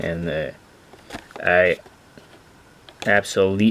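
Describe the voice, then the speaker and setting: A man with a Quebec accent against noticeable background noise. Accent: French Canadian accent in English. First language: French. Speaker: toy car collector and reviewer. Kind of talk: product review. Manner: animated.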